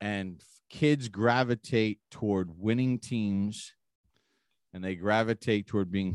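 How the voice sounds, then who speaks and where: In a normal speaking voice with an American accent, the speaker goes at a fairly slow pace with ordinary pitch variation, recorded very cleanly against a silent background in a dry, close sound with no echo. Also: man. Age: 50s. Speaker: sports broadcaster and podcast host. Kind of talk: casual sports talk.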